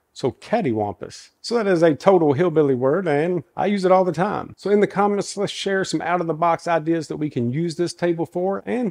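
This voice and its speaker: Recorded with a quiet background and a dry, close sound with no echo, a man talks at a moderate pace with an American accent. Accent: Southern Kentucky accent, deep but toned down. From US South, Kentucky. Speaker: woodworking YouTuber. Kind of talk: tutorial; casual chat. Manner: casual, folksy.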